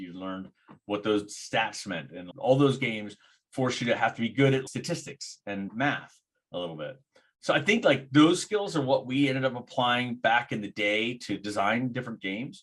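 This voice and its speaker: A man uses a normal speaking voice at a medium pitch and a moderate pace. His intonation is lively, and his loudness swings widely. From grew up in Thailand and India, moved to US at five. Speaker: game designer and entrepreneur. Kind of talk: podcast interview. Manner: conversational, with filler words.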